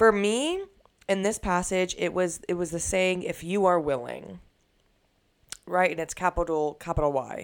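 In a very clean recording with a silent background, a woman with a fairly low pitch talks in an animated tone at a moderate pace, with ordinary pitch variation and long, frequent pauses. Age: 20s. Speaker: podcast host. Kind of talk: casual chat.

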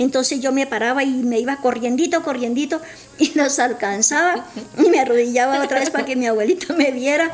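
A woman's high-pitched voice at a fairly quick pace, with noticeable background noise. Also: ordinary pitch variation. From Colombia, Santander. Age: old. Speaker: grandmother guest. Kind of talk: personal testimony.

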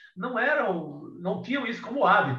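A man's voice swings very widely in pitch. Noticeable background noise and audible room echo fill the recording. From Ceará, Brazilian Northeast (Cariri). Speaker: writer and journalist. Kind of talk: casual interview. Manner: halting, many repetitions.

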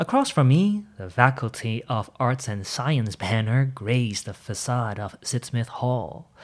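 On a very clean recording with a silent background, a man at a medium pitch talks at a fairly slow pace with hardly any pauses, lively intonation, and big swings in loudness. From Hong Kong and Toronto, Canada. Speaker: podcaster. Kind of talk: reading aloud. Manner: reflective.

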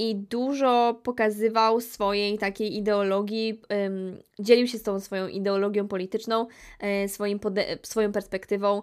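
A woman speaks at medium pitch and moderate pace in a monotone, flat way. The recording is very clean with a silent background. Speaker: podcast host. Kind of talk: casual monologue.

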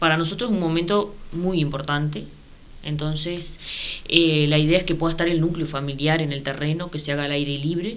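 The speech moves at a fairly quick pace with fairly even intonation, set against noticeable background noise and audible room echo. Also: woman, very deep, low pitch for a woman. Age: 30s. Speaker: housing cooperative president. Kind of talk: radio interview.

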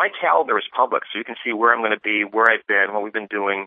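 A man with an American accent has an unremarkable speaking voice. His pitch is fairly low and his intonation fairly even. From Massachusetts, Westfield. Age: 50s. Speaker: gubernatorial candidate. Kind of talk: political interview.

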